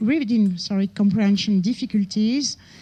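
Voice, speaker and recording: A woman speaks at a moderate pace in a somewhat breathy voice with a dark, mellow tone and ordinary pitch variation. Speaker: researcher giving conference talk. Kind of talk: conference lecture. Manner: hesitant, many fillers.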